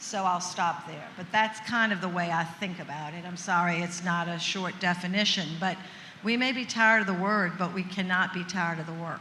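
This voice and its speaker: Noticeable background noise and audible room echo surround a woman with a New Orleans accent. She speaks at a medium pitch and fairly quick pace with fairly even intonation. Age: 70s. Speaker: senator. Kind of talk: panel discussion.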